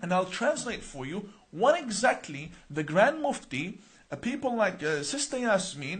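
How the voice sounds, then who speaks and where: Animated in tone, a man with an Arabic accent speaks at a high pitch and a fairly slow pace, his voice making very wide pitch swings. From Australia (born Iran, Iraqi family). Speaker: imam. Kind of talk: live-stream announcement to viewers. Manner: animated, many rhetorical questions.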